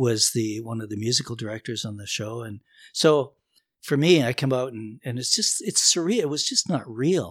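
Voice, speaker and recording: A man's normal speaking voice, medium in pitch, in a Canadian accent, at a moderate pace with ordinary pitch variation and big swings in loudness. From Northern Ontario, Canada. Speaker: musician and bandleader. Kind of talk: casual chat.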